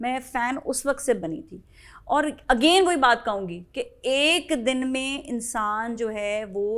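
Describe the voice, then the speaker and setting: In a quiet background, a woman with a high pitch speaks at a very slow pace, using lively intonation and big swings in loudness. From Pakistan. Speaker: TV morning show host. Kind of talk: casual interview. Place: studio.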